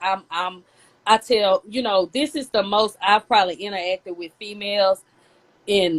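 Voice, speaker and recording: A woman's medium-pitched voice at a fairly slow pace, with ordinary pitch variation and a dry, close sound with no echo. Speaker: cigar brand founder. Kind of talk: casual chat. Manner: loud; animated.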